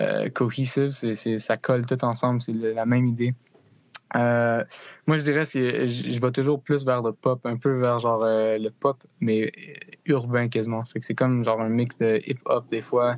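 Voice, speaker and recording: At a fairly slow pace, a man speaks with monotone, flat intonation. His pitch is medium. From Connecticut, US (French-Canadian family from New Brunswick). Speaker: musician and student. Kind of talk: casual interview.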